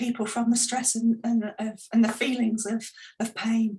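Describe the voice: A woman's voice with a slightly husky edge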